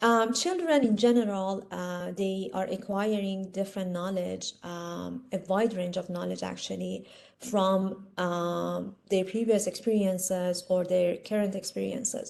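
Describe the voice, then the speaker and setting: Speaking slowly with hardly any pauses, a woman with an Iranian accent keeps a medium pitch and fairly even intonation amid audible room echo. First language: Persian. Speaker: instructor. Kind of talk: lecture. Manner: hesitant, many fillers.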